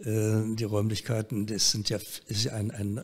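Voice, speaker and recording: A somewhat breathy man's voice, fairly low in pitch, at a moderate pace. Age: 80s+. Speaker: advertising executive. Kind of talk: interview answer. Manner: hesitant, many filler sounds.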